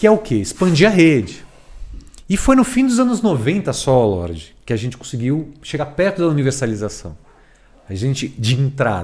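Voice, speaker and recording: On a very clean recording with a silent background, a somewhat breathy man with a fairly high pitch talks at a moderate pace with very wide pitch swings. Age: 40s. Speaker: education expert and author. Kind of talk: casual chat.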